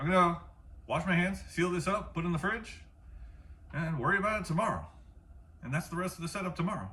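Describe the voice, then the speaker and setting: A man talks at a very fast pace in a high pitch. Room echo can be heard. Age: 40s. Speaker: home cook and martial arts instructor. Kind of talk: cooking tutorial. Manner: casual.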